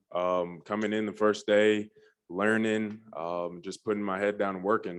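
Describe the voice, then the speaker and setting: A man with an ordinary speaking voice talks at a moderate pace, his fairly low pitch held in fairly even intonation. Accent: American. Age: 20s. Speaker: basketball player. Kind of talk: press conference. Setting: news conference.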